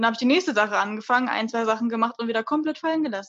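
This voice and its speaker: A woman speaks with ordinary pitch variation. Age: 20s. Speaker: cosplayer podcast co-host. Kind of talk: casual chat.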